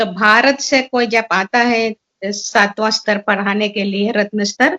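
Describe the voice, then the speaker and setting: A woman's bright, sharp tone with fairly even intonation, the sound dry and close with no echo. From Suriname. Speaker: seminar speaker. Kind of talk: seminar talk. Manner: halting.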